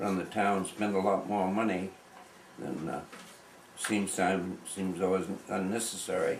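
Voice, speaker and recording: Amid noticeable background noise and audible room echo, a man speaks with an American accent. His pace is fairly slow and his intonation is monotone and flat. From New England, US (Palmyra, Maine). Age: 80s+. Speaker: local elder, farmer. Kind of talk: oral history interview. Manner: halting, many fillers.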